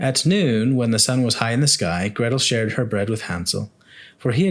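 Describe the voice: Ordinary pitch variation runs through plain reading aloud.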